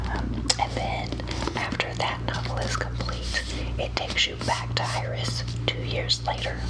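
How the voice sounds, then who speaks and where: A woman's very deep, low voice at a fairly slow pace in a flat monotone, over noticeable background noise. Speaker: ASMR artist doing a librarian roleplay. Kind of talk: ASMR roleplay, helpful librarian talking to the listener. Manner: soft-spoken, friendly.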